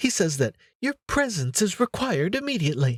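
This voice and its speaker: Putting on a character voice, a man speaks at a high pitch and a fairly quick pace. His pitch swings very widely. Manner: mocking.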